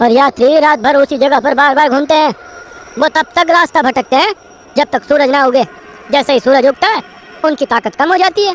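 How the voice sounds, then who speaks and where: This is a cartoonish character voice. It sits at a high pitch. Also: fairly quick pace. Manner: casual, colloquial.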